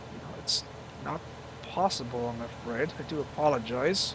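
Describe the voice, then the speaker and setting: A man speaks with an Irish accent. His voice carries that accent throughout. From Ireland. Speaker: gaming live streamer. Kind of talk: live gameplay commentary. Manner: halting, many fillers.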